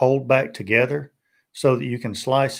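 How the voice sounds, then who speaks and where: Recorded very cleanly against a silent background, a man with a Tennessee accent speaks at a fairly high pitch. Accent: Southern US (Tennessee). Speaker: BBQ YouTuber. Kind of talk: live stream casual chat.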